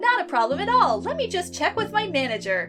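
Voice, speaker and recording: Against clear background noise, a woman performs a put-on character voice at a fairly quick pace. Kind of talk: customer service. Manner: cheery, fake.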